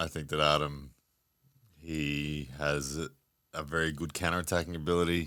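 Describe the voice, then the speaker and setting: The intonation is flat and monotone. Long pauses come often. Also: man, very deep, low pitch for a man, moderate pace, very clean recording, silent background. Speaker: professional arm wrestler. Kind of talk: casual chat.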